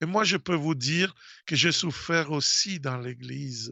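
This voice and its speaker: A man with a strong Italian accent speaks at a very slow pace. His pitch is fairly high and his intonation lively. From Italy. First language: Italian (speaking French). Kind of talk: radio talk. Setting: radio studio. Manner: halting, many hesitations.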